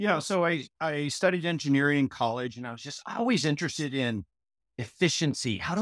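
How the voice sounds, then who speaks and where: A man with an American accent uses a normal speaking voice at a medium pitch with lively intonation, dry and close with no echo, on a very clean recording with a silent background. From US Pacific Northwest, Portland, Oregon. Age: 50s. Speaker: business consultant and author. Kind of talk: interview.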